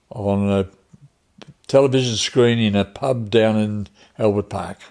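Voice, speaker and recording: The speaker has an Australian accent, a fairly slow pace and fairly even intonation. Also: man, fairly low pitch for a man. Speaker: retiree. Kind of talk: interview.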